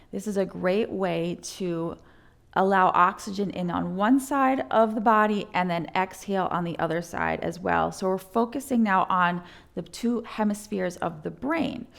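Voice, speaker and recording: A woman's medium-pitched voice with ordinary pitch variation, an ordinary speaking voice, in a very clean recording with a silent background. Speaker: yoga instructor. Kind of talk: guided yoga class. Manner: slow.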